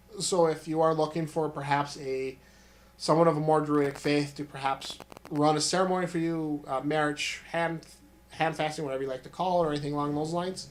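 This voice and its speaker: A man talks at a fairly quick pace and a fairly high pitch in monotone, flat intonation. Noticeable background noise is present. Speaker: crystal healer and druid clergy. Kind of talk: casual chat.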